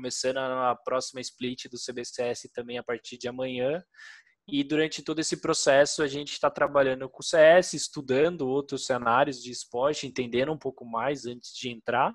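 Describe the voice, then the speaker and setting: A man's plain, everyday voice, medium in pitch, with fairly even intonation, a moderate pace, and a quiet background. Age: 30s. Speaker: esports team founder. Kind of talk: interview.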